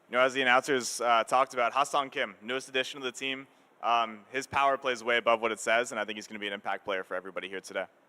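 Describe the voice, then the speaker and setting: Talking very fast with a Canadian accent, a man at medium pitch uses a bright, sharp tone and fairly even intonation, in a dry, close sound with no echo. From Toronto, Canada. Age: 20s. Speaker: esports gamer. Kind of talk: pre-match interview.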